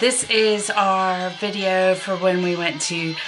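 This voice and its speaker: Clear music plays in the background as a woman speaks at a fairly low pitch. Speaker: vlogger. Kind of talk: casual vlog chat. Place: home room. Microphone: webcam.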